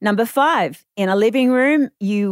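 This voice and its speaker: A woman with an Australian accent speaks at a fairly high pitch with ordinary pitch variation, in a very clean recording with a silent background and a dry, close sound with no echo. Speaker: renovation expert, podcast presenter. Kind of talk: scripted narration.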